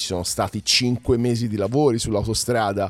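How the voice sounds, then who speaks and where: A man with an ordinary speaking voice, medium pitch, fairly even intonation and a moderate pace. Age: 40s. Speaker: podcast host and music presenter. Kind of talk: casual solo news commentary.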